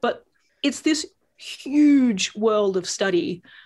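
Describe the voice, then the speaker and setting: A woman with an Australian accent talks at a very slow pace. Her intonation is lively. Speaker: yoga teacher and embodiment coach. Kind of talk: casual chat. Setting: home above a tube station.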